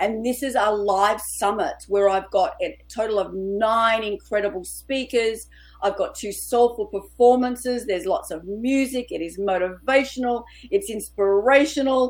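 On a very clean recording with a silent background, a woman with an Australian accent speaks at a moderate pace, her pitch fairly high with ordinary variation. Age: 50s. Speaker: author and women's coach. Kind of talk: interview.

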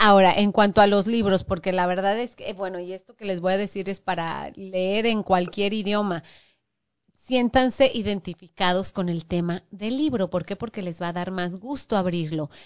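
Talking at a moderate pace, a woman with a medium-pitched voice shows ordinary pitch variation. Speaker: podcast host. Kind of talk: casual chat.

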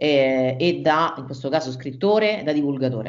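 Audible room echo is present. In it, a woman speaks with lively intonation. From Rome, Italy. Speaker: podcast host, marketing consultant. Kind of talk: interview.

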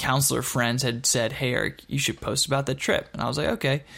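A plain, everyday voice with an American accent and fairly even intonation, on a very clean recording with a silent background. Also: man. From Texas (Dallas-Fort Worth) and Michigan. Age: 30s. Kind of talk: personal testimony. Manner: casual, conversational with fillers.

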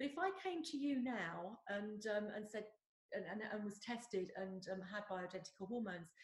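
A woman with an English accent, somewhat breathy, speaks at a moderate pace with ordinary pitch variation. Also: medium pitch for a woman. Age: 50s. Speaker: podcast host. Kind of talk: interview. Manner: hesitant, many fillers.

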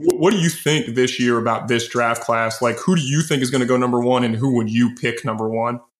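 Using a plain, everyday voice, a man talks at a fairly quick pace and medium pitch. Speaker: podcast host. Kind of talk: casual chat.

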